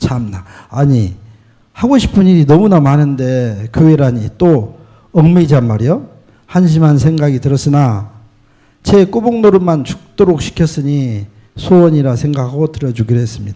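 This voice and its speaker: A man speaks at a moderate pace with a fairly high pitch and lively intonation. His tone is dark and mellow, and somewhat breathy. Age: 60s. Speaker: church member giving testimony. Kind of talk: testimony. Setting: church. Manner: reading from a prepared script.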